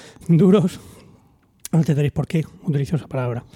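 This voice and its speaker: The voice has a dark, mellow tone and ordinary pitch variation, recorded with a dry, close sound and no echo. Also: man. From Almería, Spain. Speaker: podcast co-host. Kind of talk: casual chat among friends, humorous.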